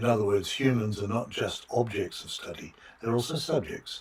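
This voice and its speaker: A man with an Australian accent talks at a moderate pace with ordinary pitch variation, noticeable background noise behind him. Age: 60s. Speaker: philosophy of biology professor. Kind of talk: interview. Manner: halting, many fillers.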